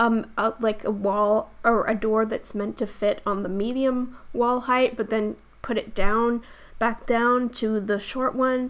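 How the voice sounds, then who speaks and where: A woman mumbles at a fairly slow pace in a fairly high pitch. Her intonation is monotone and flat, on a very clean recording with a silent background. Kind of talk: Sims 4 speed build commentary. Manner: hesitant, stuttering, mumbling.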